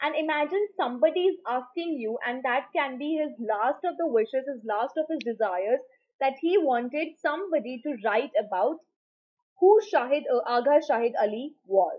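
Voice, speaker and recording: A woman's high-pitched voice at a moderate pace, over a quiet background. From India. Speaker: online teacher. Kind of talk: lecture. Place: home room. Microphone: webcam.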